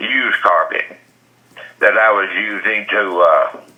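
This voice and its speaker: A man speaks with an American accent. Noticeable background noise runs underneath. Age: 70s. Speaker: defendant heading to trial, rural property owner. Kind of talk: phone interview answer. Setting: phone line.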